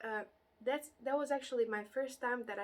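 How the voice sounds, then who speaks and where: A woman with a non-native accent talks at a very fast pace. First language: not English. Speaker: interior designer and YouTuber. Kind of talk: casual vlog talk to camera. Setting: home recording during heat wave with fan. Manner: halting, many fillers.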